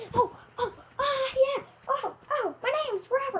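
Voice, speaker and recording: A woman puts on a cartoonish character voice at an extremely high pitch. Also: moderate pace. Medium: puppet.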